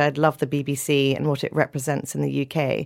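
Very deep, low pitch from a woman, captured in a very clean recording against a silent background. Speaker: foundation CEO. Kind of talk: casual interview.

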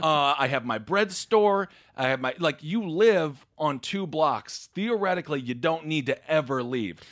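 In an unremarkable speaking voice, a man with an American accent talks at a fairly slow pace and fairly high pitch, with lively intonation and hardly any pauses, on a very clean recording with a silent background. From Wisconsin (Stevens Point). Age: 30s. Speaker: comedian and political commentator. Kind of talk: casual chat.

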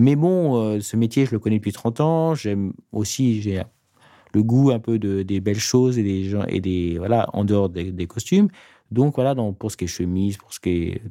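In a very clean recording with a silent background, a man with a fairly low pitch and a dark, mellow tone speaks at a fairly slow pace. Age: 40s. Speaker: master tailor, head of a tailoring house. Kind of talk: casual interview. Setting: studio.

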